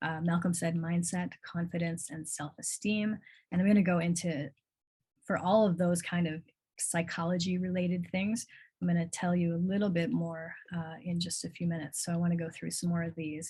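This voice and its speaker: In an American accent, a woman speaks at a fairly quick pace with a fairly low, dark, mellow and somewhat breathy voice against a quiet background. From US Midwest, North Shore of Chicago. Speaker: coach. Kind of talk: livestream talk with chat. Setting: live video stream. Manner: casual, animated.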